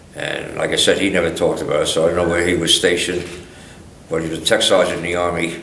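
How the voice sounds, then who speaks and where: A man with an American accent talks at a very fast pace, broken by long, frequent pauses, over noticeable background noise and audible room echo. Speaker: war veteran. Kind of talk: oral history interview. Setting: museum interview.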